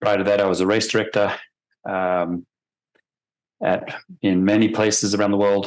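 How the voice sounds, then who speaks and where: A man with a very deep, low pitch and a slight Australian accent, at a fairly quick pace with fairly even intonation. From Australia, Sydney. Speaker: forensic expert witness. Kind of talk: deposition testimony. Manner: hesitant, many fillers.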